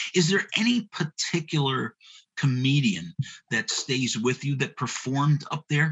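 A man has an unremarkable speaking voice. He talks at a fairly slow pace with lively intonation. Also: fairly high pitch for a man. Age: 50s. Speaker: radio host. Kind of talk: radio talk show.

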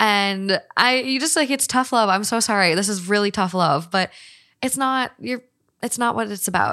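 A woman speaks in an American accent at a moderate pace and medium pitch. Her tone is bright and sharp, and the recording is very clean with a silent background. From Minnesota. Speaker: podcaster. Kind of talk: casual chat.

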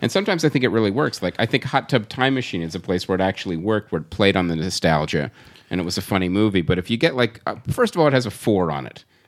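With lively intonation, a man of fairly low pitch speaks at a very fast pace. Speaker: podcast host. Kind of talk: casual comedy podcast chat. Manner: joking, interrupting.

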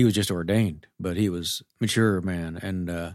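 In an ordinary speaking voice, a man speaks at a moderate pace with a fairly low pitch and fairly even intonation, in a very clean recording with a silent background. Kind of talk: casual chat.

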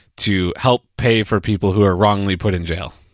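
Captured in a very clean recording with a silent background and a dry, close sound with no echo, a man with an unremarkable speaking voice speaks at a moderate pace and a fairly low pitch. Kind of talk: casual chat.

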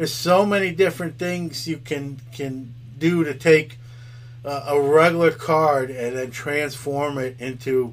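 A man with an American accent speaks in a normal speaking voice at a fairly slow pace, medium in pitch with ordinary pitch variation. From New York City, Brooklyn. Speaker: podcast host and card dealer. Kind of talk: casual interview chat.

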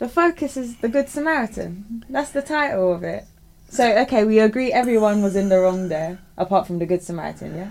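A woman with a plain, everyday voice talks at a fairly quick pace, her fairly high pitch carried by lively intonation. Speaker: radio co-host. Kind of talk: casual radio banter and devotional reading. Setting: radio studio. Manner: laughing, chatty, cheerful.

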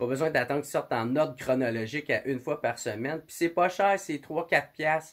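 Speaking in a Quebec accent at a moderate pace, a man has a fairly high voice with ordinary pitch variation. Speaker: podcast host. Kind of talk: podcast intro monologue; casual chat.

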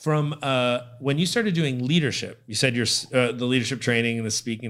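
This is an ordinary speaking voice with an American accent. The pitch variation is ordinary. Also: man. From Connecticut. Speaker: podcast host. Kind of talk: interview.

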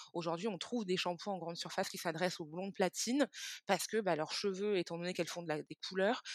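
The speech moves at a fairly quick pace with fairly even intonation. The sound is dry and close with no echo, on a very clean recording with a silent background. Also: woman. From Israel, then France from age 10-11. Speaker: beauty brand founder. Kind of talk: interview. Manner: hesitant, with repetitions.

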